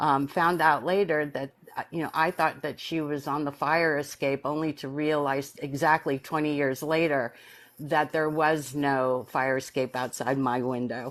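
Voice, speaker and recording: The voice has an American accent and fairly even intonation at a moderate pace. The background is quiet. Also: woman, very deep, low pitch for a woman. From US Northeast, New York City. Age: 60s. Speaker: near-death experiencer. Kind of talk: personal testimony in live stream interview.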